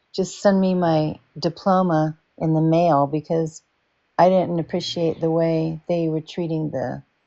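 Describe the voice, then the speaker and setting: Her pitch is fairly low, and the woman speaks in a monotone with flat intonation. She goes at a fairly slow pace. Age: 60s. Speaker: former business owner. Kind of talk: casual chat.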